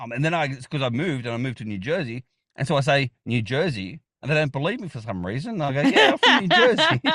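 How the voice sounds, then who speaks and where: A very fast, animated male voice in an Australian accent, fairly high in pitch with lively intonation, a bright, sharp tone and a dry, close sound with no echo against a quiet background. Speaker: geocaching vlogger. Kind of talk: casual chat.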